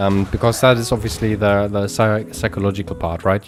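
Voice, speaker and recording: Against noticeable background noise, a man with a German accent and fairly low pitch speaks at a moderate pace with ordinary pitch variation. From Germany. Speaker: video game streamer. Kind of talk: live gameplay stream chat. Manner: halting, many repeats and fillers.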